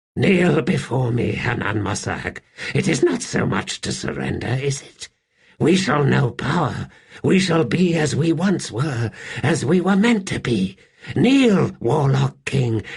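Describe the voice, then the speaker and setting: Putting on a character voice, a man speaks at a fairly slow pace in a fairly high pitch with very wide pitch swings. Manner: menacing, commanding.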